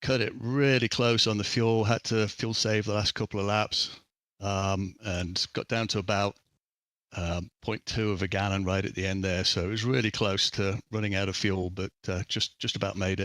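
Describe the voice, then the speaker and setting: On a very clean recording with a silent background, a man speaks at a moderate pace with a fairly low pitch and fairly even intonation, the sound dry and close with no echo. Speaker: sim racing driver. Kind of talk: post-race interview.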